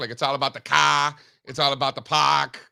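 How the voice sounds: Putting on a raspy character voice in a Massachusetts accent, a man speaks at a fairly quick pace and a medium pitch.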